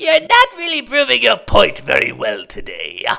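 An extremely high-pitched cartoonish character voice. It moves at a moderate pace. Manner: gushing, enthusiastic.

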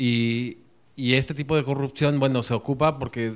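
A man speaks with a Mexican accent. His intonation is monotone and flat. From Mexico. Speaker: audience member. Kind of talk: audience discussion. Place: classroom.

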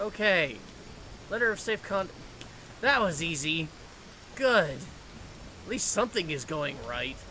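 A man with a high pitch projects a raised voice with very wide pitch swings and long, frequent pauses over noticeable background noise. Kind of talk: let's play commentary. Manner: casual, self-deprecating.

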